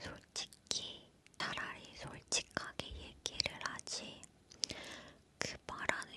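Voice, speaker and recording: A woman whispering in a relaxed tone at a very slow pace, with noticeable background noise. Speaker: ASMR creator. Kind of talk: talking ASMR, casual chat about balance-game questions. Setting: studio. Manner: whispered, soft-spoken, relaxed.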